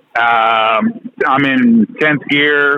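A man with an American accent speaks at a very slow pace in a medium pitch. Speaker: trucker caller. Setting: phone call.

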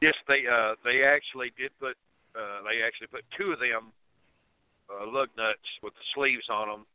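With a Southern US accent, a man at medium pitch speaks at a moderate pace with ordinary pitch variation, big swings in loudness, and long, frequent pauses. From Tennessee. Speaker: truck driver. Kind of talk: call-in question. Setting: phone call.

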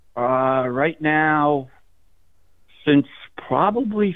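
A very slow man with a fairly high voice and an American accent, his pitch swinging very widely. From New Jersey. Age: 60s. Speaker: caller. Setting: phone call. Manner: excitable.

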